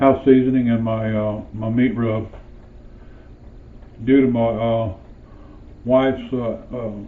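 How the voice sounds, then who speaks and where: A man talks at a very slow pace in a medium pitch, leaving long, frequent pauses. His intonation stays monotone and flat, and the room echo is audible. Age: 60s. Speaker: home cooking video host. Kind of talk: cooking tutorial. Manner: halting, many filler uhs.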